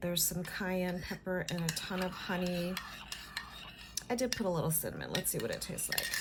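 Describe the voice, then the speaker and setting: Noticeable background noise and audible room echo accompany a woman at medium pitch. Her intonation is fairly even, broken by long, frequent pauses. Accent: American. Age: 50s. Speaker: vlogger. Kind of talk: casual chat. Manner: chatty, filler-heavy.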